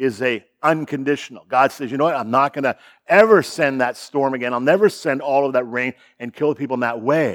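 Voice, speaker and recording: A man with a Canadian accent speaks in a medium pitch with ordinary pitch variation. The recording is very clean, with a silent background. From Ontario, Canada (Sarnia). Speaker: guest pastor. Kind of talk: sermon. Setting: church. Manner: laid back.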